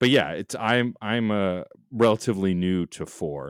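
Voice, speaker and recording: Recorded very cleanly with a silent background and a dry, close sound with no echo, a man with a plain, everyday voice speaks at a fairly low pitch and a moderate pace. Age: 40s. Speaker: podcaster. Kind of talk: casual chat.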